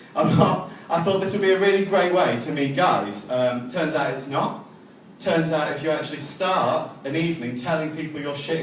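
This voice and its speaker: With audible room echo and noticeable background noise, a man with a fairly high pitch speaks at a moderate pace with lively intonation. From England. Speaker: amateur stand-up comedian. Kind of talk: stand-up. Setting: stage with audience. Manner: halting, many ums.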